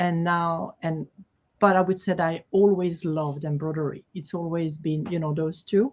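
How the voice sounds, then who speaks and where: Speaking in a French accent, a woman keeps a moderate pace, a fairly low pitch and fairly even intonation. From Switzerland, Geneva (French-speaking). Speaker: quilt designer. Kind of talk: interview.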